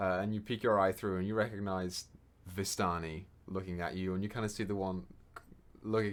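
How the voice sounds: This man talks at a fast pace with a low pitch. His pitch moves very little.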